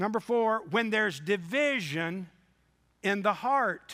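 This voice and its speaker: The voice is raised and projected, with a bright, sharp tone. Its intonation is lively, though the pace is very slow. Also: man. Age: 60s. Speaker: revival preacher. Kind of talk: sermon. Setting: church with congregation.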